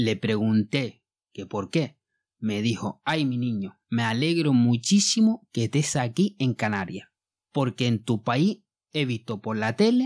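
In a very clean recording with a silent background, a man speaks fairly slowly in a normal speaking voice at medium pitch, his intonation lively. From Mali. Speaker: podcast host. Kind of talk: podcast monologue; educational narration.

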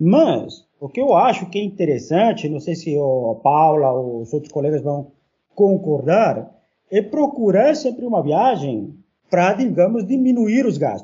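A high-pitched man with a Spanish accent, at a moderate pace with very wide pitch swings. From Peru. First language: Spanish (speaking Portuguese). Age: 40s. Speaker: university professor. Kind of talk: casual chat.

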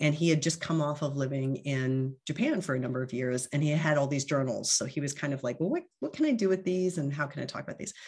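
In a very clean recording with a silent background, a woman with an American accent speaks at a very fast pace in a very deep, low, somewhat breathy voice with ordinary pitch variation. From US East Coast, New Jersey. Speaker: expat club member. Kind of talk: casual interview.

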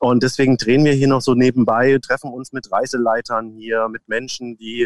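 Spoken with a southern German accent, the voice stays monotone and flat, the sound dry and close with no echo. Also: man. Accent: southern German sounding. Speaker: voice imitator. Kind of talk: casual chat.

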